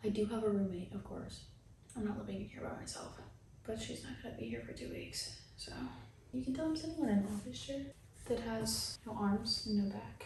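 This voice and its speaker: Soft-spoken and talking at a fairly quick pace, a woman is heard with audible room echo and noticeable background noise. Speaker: lifestyle vlogger. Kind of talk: casual vlog. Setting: new apartment at night.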